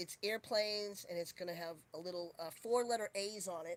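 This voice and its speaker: A woman with a Boston accent, medium pitch and fairly quick pace. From Boston, US. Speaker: livestreamer. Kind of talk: casual chat.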